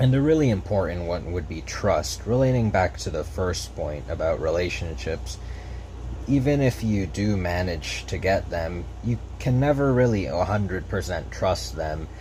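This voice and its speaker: Over noticeable background noise and audible room echo, a man with a very deep, low voice talks at a moderate pace, his pitch swinging very widely. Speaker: gaming video creator. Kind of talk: unscripted commentary over gameplay. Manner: stutter; casual, slightly halting.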